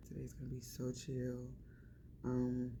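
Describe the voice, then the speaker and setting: A woman talks at a very slow pace. Room echo can be heard around her voice. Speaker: travel vlogger. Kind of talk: casual vlog chat. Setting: outdoors on a plantation tour.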